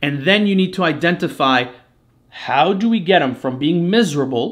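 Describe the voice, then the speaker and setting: Loud and bright with a sharp edge, a man with a French Canadian accent speaks at a fairly high pitch with lively intonation. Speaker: marketing agency owner. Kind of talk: live webinar presentation.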